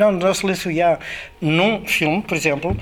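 With fairly even intonation, a man's high voice comes through over noticeable background noise. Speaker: film sound director. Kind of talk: interview. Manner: halting.

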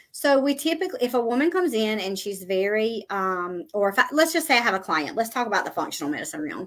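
A woman talks at a very fast pace. Her fairly high pitch swings very widely. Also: hardly any pauses. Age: 40s. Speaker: nurse practitioner. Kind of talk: interview.

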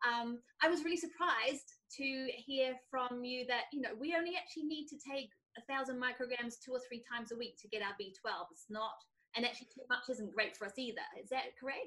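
A woman projects a raised, high voice with a bright, sharp tone, talking fairly fast with big swings in loudness and ordinary pitch variation. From southern England. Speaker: podcast co-host. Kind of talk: interview conversation.

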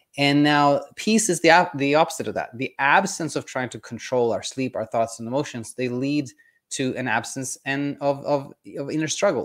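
The recording is very clean, with a silent background. The voice shows ordinary pitch variation. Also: man. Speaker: sleep coach. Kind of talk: educational talk. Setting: video episode, solo. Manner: informal, hesitant with fillers.

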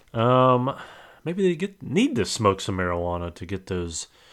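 Lively intonation from a man with a plain, everyday voice, on a very clean recording with a silent background. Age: 40s. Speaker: podcast co-host. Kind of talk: casual chat.

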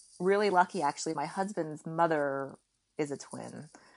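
A woman with an American accent speaks in an ordinary speaking voice at a moderate pace. Her fairly low pitch holds fairly even intonation over a quiet background. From raised partly in Kuwait by American family. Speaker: podcast guest, Korean adoptee and mother. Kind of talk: casual interview chat.

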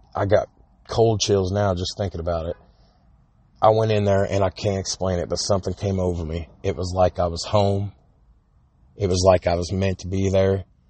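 A man speaks with a very deep, low pitch in a monotone, flat intonation, somewhat breathy. He keeps a moderate pace with long, frequent pauses. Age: 30s. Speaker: podcast host. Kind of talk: casual monologue. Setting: phone recording.

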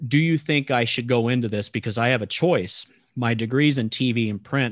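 In an American accent, a man with an ordinary speaking voice talks at a moderate pace and medium pitch, with fairly even intonation, on a very clean recording with a silent background. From Texas. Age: 30s. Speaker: sports announcer. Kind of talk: interview podcast.

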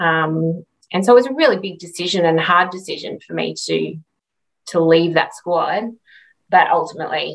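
A woman with an Australian accent talks at a moderate pace, leaving long, frequent pauses. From Australia, Redcliffe, Queensland. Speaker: retired Olympic swimmer. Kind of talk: interview.

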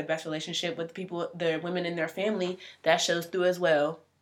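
The intonation is monotone and flat. Delivery runs at a very fast pace. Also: woman. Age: 20s. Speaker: podcast co-host. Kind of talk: casual chat.

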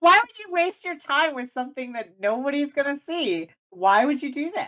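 A woman with a high voice projects it loudly at a fairly slow pace. Her tone is bright and sharp, and her pitch swings very widely. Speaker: podcast host, writer. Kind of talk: casual chat. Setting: live stream. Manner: casual, filler words, laughs often.

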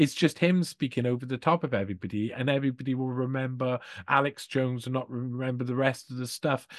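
Against a quiet background, a man speaks very fast with a Welsh accent. His pitch is medium and his intonation fairly even. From Wales. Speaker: investigative journalist. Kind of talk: interview.

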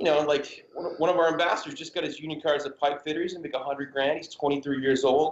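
Fairly high in pitch, this man talks with an American accent. His pace is very fast. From Massachusetts. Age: 40s. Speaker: clothing company co-founder. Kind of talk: casual chat. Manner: animated.

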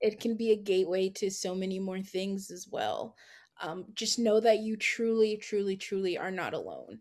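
With an American accent and a medium pitch, a woman talks at a moderate pace in a calm, monotone, flat delivery with big swings in loudness over a quiet background. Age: 20s. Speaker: graphic designer. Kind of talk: casual interview.

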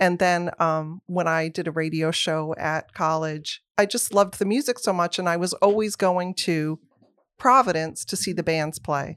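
A woman with a fairly low pitch, ordinary pitch variation and a moderate pace, in a dry, close sound with no echo and a very clean recording against a silent background. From US Midwest, moved around as a child. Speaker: magazine editor-in-chief. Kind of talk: casual interview chat. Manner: animated.

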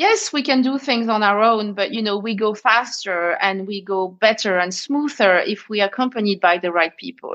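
In a French accent, a woman talks at a moderate pace with hardly any pauses and ordinary pitch variation. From France. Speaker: conscious leadership expert. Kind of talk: casual interview chat.

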